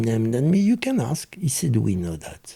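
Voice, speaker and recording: With a French accent, a man speaks in a somewhat breathy voice with a dark, mellow tone. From France. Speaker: former criminal telling life story. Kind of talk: interview storytelling.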